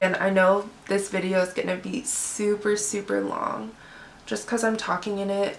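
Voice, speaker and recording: Over noticeable background noise, a woman speaks at a moderate pace with a monotone, flat intonation. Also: medium pitch for a woman. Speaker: beauty YouTuber. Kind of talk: makeup tutorial chat. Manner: chatty, casual.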